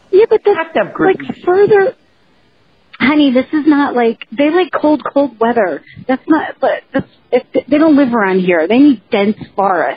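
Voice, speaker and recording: A high-pitched woman with an American accent at a fairly slow pace, very wide pitch swings and very even loudness, with music in the background. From New Jersey. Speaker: podcast co-host. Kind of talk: casual chat.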